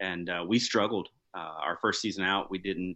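Speaking in a plain, everyday voice with an American accent, a man keeps a moderate pace and fairly even intonation. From US South, deep South Alabama. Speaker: hunting podcast host. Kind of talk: casual chat.

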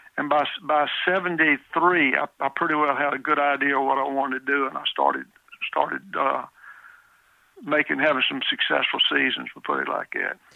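A man with a Southern US accent and a flat, monotone intonation. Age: 70s. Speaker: deer hunter. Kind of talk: interview.

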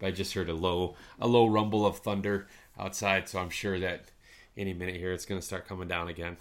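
A man with an American accent speaks at a fairly quick pace in a very deep, low pitch and monotone, flat intonation. The recording is very clean, with a silent background. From northern lower Michigan. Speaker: podcast host. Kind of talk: casual interview chat.

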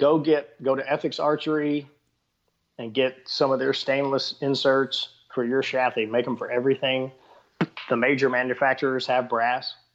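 A man talks in a Texan accent at a moderate pace. His intonation is monotone and flat. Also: medium pitch for a man. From Texas. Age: 50s. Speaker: bowhunter and YouTuber. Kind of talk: casual interview chat.

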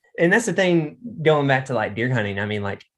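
A man with a Southern US accent and lively intonation at a fairly quick pace over a quiet background. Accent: US South. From central Arkansas. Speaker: hunter and duck hunting guide. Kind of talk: casual interview chat.

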